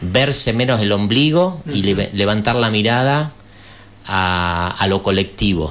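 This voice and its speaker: A man's fairly slow speech with lively intonation amid noticeable background noise. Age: 50s. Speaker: former national legislator, party politician. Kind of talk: radio interview. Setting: radio studio.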